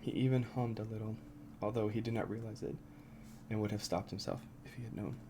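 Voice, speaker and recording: Soft-spoken and somewhat breathy, with a dark, mellow tone and fairly even intonation, the voice rushes at a very fast pace yet leaves long, frequent pauses. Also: man, medium pitch for a man. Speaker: ASMR creator. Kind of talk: ASMR book reading.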